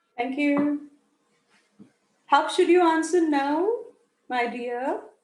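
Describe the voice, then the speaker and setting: Audible room echo surrounds a woman speaking at a very slow pace in a high pitch. Her pitch variation is ordinary. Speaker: IELTS teacher. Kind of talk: online class lecture. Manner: deliberate, careful pronunciation for clarity.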